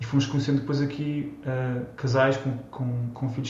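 Amid noticeable background noise and audible room echo, a man with a medium pitch speaks fairly quickly in a monotone, flat intonation. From Portugal, Almada. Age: 30s. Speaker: Portuguese emigrant, consultant. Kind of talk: interview. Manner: halting, many repetitions.

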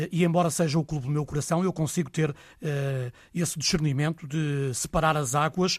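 A man's unremarkable speaking voice, fairly high in pitch, at a fairly quick pace with fairly even intonation. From northern Portugal (Vila do Conde). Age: 40s. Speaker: sports radio reporter. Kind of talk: casual interview.

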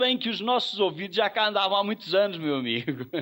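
This man's intonation is lively. His voice sits at a high pitch. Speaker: cultural association leader. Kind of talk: interview.

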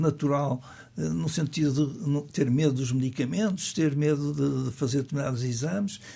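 On a very clean recording with a silent background, a man speaks at a fairly high pitch, somewhat breathy, with a dark, mellow tone. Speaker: cardiologist. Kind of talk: radio interview. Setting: studio.

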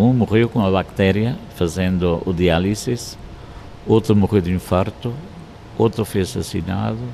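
The pace is moderate. Noticeable noise runs in the background. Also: man. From Madeira, Portugal. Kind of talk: interview.

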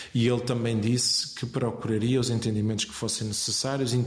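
A man at medium pitch and moderate pace, monotone and flat in intonation, with audible room echo and noticeable background noise. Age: 40s. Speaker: politician, campaign coordinator. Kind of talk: interview. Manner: hesitant, many fillers.

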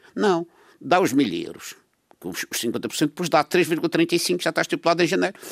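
A man speaks with a high pitch at a fairly slow pace, with ordinary pitch variation. The sound is dry and close with no echo, on a very clean recording with a silent background. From Madeira, Portugal. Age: 80s. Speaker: radio panel commentator. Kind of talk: radio panel discussion.

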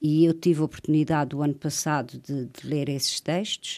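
A woman speaks at a moderate pace. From Azores, grew up on São Miguel. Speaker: poet and writer. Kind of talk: radio interview.

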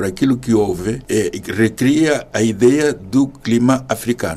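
A rather unhurried delivery against plainly audible background noise. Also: man. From Mozambique, Zambézia province. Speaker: artist and art professor. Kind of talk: interview. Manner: halting, many repetitions.

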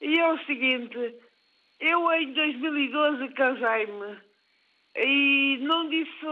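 Woman's high voice with ordinary pitch variation. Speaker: caller. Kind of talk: phone-in question. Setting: phone call. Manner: halting. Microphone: poor phone line.

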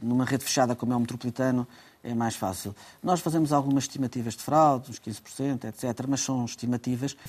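Very fast talking from a man, the intonation fairly even. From Portugal. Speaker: transport company president. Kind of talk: radio interview. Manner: halting, frequent repetitions.

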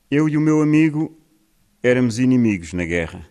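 This man has lively intonation and speaks at a fairly slow pace. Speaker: poet. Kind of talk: casual spoken introduction before poems. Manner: halting, hesitant.

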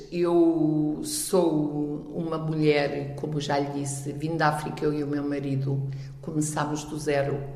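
A woman's very deep, low voice at a very slow pace, with audible room echo and music in the background. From Miranda do Douro, Portugal; lived in Angola. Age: 60s. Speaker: local election candidate, retiree. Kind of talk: interview.

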